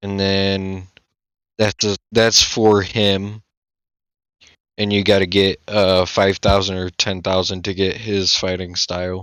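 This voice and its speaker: A man speaks very slowly at a fairly low pitch. His intonation is monotone and flat, broken by long, frequent pauses. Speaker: gaming video creator. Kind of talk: gameplay commentary. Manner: loud; halting.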